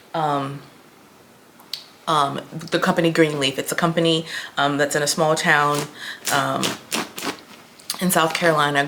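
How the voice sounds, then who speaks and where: The delivery is monotone and flat at a fairly slow pace, with noticeable background noise behind it. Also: woman. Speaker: lifestyle vlogger. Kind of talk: casual vlog chat. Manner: chatty with many fillers.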